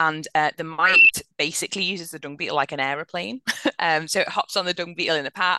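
With a dry, close sound and no echo, a woman talks very fast in a fairly low, bright, sharp voice, her intonation fairly even. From Liverpool, England. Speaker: farm vet. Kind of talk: interview.

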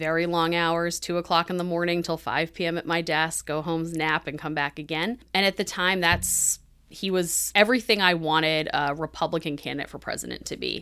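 A woman's fairly low, bright, sharp voice with fairly even intonation and hardly any pauses, in a very clean recording with a silent background. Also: fairly quick pace. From New Hampshire. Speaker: political communications professor. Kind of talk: podcast interview.

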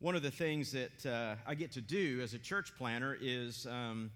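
The voice has a bright, sharp tone and an American accent. It keeps a moderate pace. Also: man. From East Tennessee, US South. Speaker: pastor, church planter. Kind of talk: sermon. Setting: church.

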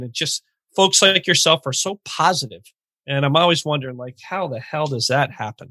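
The recording is very clean, with a silent background and a dry, close sound with no echo, as a man speaks with a fairly high pitch and a bright, sharp tone. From Vermont. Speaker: podcast host. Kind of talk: casual podcast interview. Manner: jokey, upbeat.

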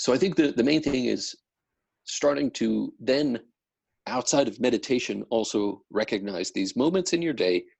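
This man's voice has vocal fry and lively intonation, and he keeps a moderate pace. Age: 30s. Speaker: meditation practitioner guest. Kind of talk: casual interview. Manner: halting, many fillers.

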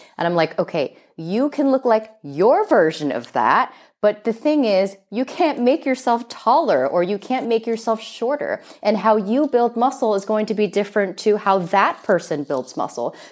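Hardly pausing, the voice keeps a moderate pace while its pitch swings very widely. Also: woman, fairly high pitch for a woman. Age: 40s. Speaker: sports nutrition coach. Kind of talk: interview.

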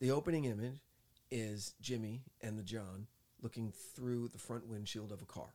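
A man with an American accent speaks at a medium pitch in a dark, mellow tone with ordinary pitch variation. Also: moderate pace. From New Jersey. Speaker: podcast co-host, movie reviewer. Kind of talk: casual chat. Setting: studio in Hollywood. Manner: soft-spoken.

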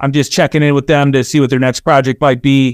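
A man's fairly high voice with an American accent, a dry, close sound with no echo. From Chicago southwest suburbs, Illinois. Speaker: building products executive. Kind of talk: interview. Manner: halting, many repetitions and fillers.

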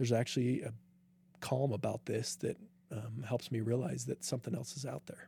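A man with an American accent, vocal fry, a dark, mellow tone, ordinary pitch variation, and a fairly quick pace. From Utah, US. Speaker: triathlete and medical administrator. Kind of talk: interview conversation. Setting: studio.

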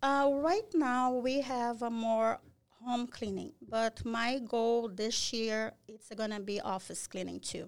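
At a very slow pace, a woman with a Brazilian accent speaks in a fairly high pitch with ordinary pitch variation and big swings in loudness. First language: Portuguese. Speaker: cleaning business owner. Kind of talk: podcast interview. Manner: halting.

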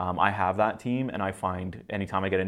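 A man with an unremarkable speaking voice goes at a fairly quick pace with ordinary pitch variation. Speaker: real estate agent. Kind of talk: casual informational talk to camera. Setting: studio.

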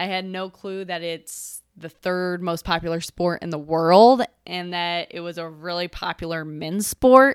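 A woman with an American accent speaks at a fairly slow pace in a medium pitch, an ordinary speaking voice on a very clean recording with a silent background. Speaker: podcast co-host, former pro field hockey player. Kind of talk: casual interview, telling her story.

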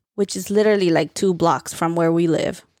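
A woman with a New Jersey accent speaks with ordinary pitch variation on a very clean recording, the background silent and the sound dry and close with no echo. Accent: New Jersey American English. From Central New Jersey, US. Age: 30s. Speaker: podcast host. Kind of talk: casual chat.

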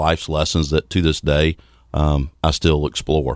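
A Southern US accent, recorded with a dry, close sound and no echo. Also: man. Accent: Southern US (Georgia). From US South, Athens, Georgia. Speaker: financial services consultant. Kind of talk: radio interview. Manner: fast.

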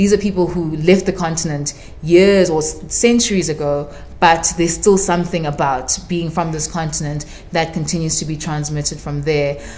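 A woman's fairly low voice with fairly even intonation over noticeable background noise. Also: moderate pace. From South Africa, Durban (Zimbabwean-born). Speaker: writer. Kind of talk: casual chat. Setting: live event with audience.

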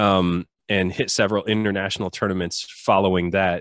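In a dry, close recording with no echo and a quiet background, a man with a fairly low pitch talks at a moderate pace. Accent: Midwestern American. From US Midwest, rural southwest Michigan. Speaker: Paralympic athlete and personal trainer. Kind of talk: casual interview. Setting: remote call.

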